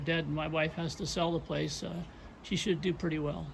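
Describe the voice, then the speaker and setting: A fairly high-pitched man with vocal fry at a fairly quick pace. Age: 70s. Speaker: retired homeowner doing DIY yard work. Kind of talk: casual talk to camera.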